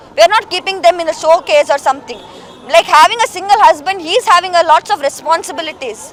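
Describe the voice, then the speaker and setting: A woman speaks at an extremely high pitch with ordinary pitch variation. Crowd noise can be heard behind her. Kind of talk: protest speech. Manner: indignant, fiery.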